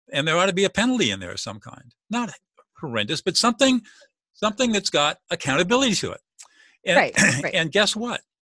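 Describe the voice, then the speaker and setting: A man with an American accent and a high pitch speaks in a raised, projected voice with a bright, sharp tone, very wide pitch swings and a very fast pace, in a dry, close sound with no echo. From Southern California. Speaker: mediator and author. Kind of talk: interview.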